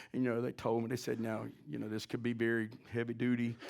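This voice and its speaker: A man speaks rather quickly. The audio is very clean, with dead silence behind him. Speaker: pastor. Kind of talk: sermon. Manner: loud; animated.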